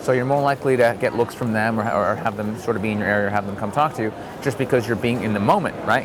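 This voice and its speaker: A man talks at a very fast pace with ordinary pitch variation. Audible room echo and noticeable background noise fill the recording. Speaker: dating advice vlogger. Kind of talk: casual vlog monologue. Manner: animated.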